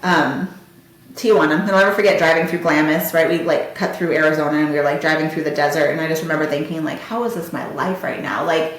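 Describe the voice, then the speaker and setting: At a very fast pace, a woman talks in a very deep, low voice amid noticeable background noise and audible room echo. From US, Marietta area. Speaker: podcast host. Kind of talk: personal storytelling. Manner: animated.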